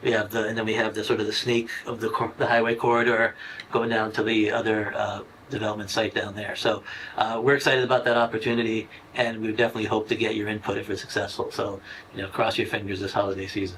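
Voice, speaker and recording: Over noticeable background noise, a man talks at a very fast pace. His pitch is medium and his intonation monotone and flat. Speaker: assistant town manager and economic development director. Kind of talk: public committee meeting presentation. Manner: halting, many fillers and restarts.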